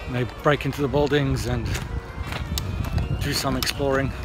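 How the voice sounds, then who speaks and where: A monotone, flat delivery at a moderate pace, with dry sound free of echo and faint music in the background. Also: man. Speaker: travel vlogger. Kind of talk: casual vlog chat. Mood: calm, slightly annoyed. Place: forest. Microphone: phone near.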